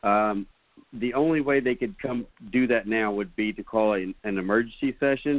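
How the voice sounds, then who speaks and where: Moderate pace and ordinary pitch variation in an unremarkable speaking voice. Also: man. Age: 40s. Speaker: sports radio co-host. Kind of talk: live sports talk radio. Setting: studio.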